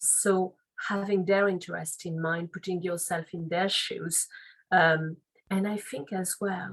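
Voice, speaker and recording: In a French accent, a woman with a medium pitch and somewhat breathy voice talks at a fairly slow pace with monotone, flat intonation. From France, Paris. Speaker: legal and compliance officer. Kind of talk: interview.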